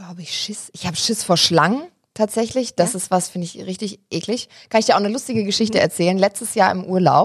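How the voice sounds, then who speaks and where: At a very fast pace, a woman with a medium pitch sounds somewhat breathy and animated, with ordinary pitch variation and big swings in loudness. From Germany, Hesse (Wiesbaden). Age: 20s. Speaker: TV presenter. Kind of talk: casual interview chat.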